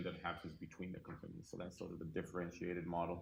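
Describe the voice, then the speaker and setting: The recording carries audible room echo. A man speaks with a non-native accent. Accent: foreign. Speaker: cybersecurity company founder and investor. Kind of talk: conference panel talk.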